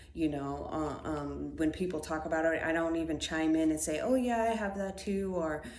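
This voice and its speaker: Speech comes at a moderate pace with ordinary pitch variation. Room echo is audible. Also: woman. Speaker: spiritual podcaster. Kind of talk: casual monologue. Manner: hesitant, many fillers.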